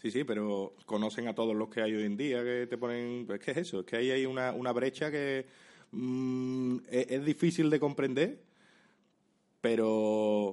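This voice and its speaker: A man with an unremarkable speaking voice and a medium pitch speaks at a fairly slow pace with ordinary pitch variation. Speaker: comedian and YouTuber. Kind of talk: casual chat.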